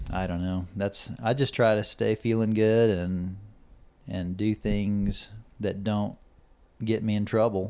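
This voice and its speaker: A man with an American accent, fairly low-pitched and dark, mellow in tone, flat and monotone, broken by long, frequent pauses. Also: fairly slow pace. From Texas, Corpus Christi. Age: 30s. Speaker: rancher and father. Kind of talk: casual chat.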